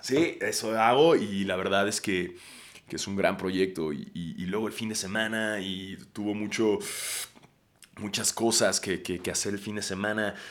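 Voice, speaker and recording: A man with a fairly low pitch speaks at a fairly slow pace in an animated tone, his pitch varying in an ordinary way. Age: 30s. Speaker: podcast host. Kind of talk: casual monologue.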